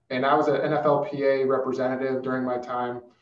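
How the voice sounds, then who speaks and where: A man with an American accent speaks at a fairly slow pace, his pitch fairly high and his intonation fairly even. There is audible room echo over a quiet background. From Arizona. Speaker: former NFL player, financial advisor; guest. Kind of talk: panel discussion. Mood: relaxed, friendly. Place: office. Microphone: earbuds.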